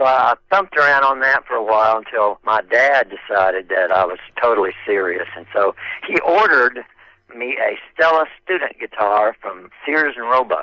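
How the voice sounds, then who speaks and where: The sound is dry and close, with no echo. A man talks at a moderate pace. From Oklahoma. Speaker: 1960s rock singer and guitarist. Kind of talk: interview.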